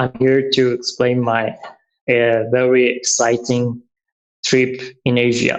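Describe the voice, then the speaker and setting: In a Persian accent, a man speaks very slowly at a medium pitch, with flat, monotone intonation, very even loudness and long, frequent pauses. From Iran. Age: 30s. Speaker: traveler. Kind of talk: interview. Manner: halting.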